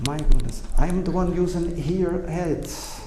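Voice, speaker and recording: With a non-native accent, a man speaks very slowly and with fairly even intonation, amid audible room echo and noticeable background noise. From Brazil. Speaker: electrical engineer and speaker. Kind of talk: presentation to audience. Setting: stage with audience at exposition. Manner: halting.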